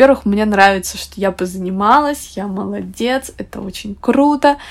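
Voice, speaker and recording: Someone speaks at a moderate pace with ordinary pitch variation against noticeable background noise. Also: woman. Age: 20s. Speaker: podcast host. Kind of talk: solo podcast monologue.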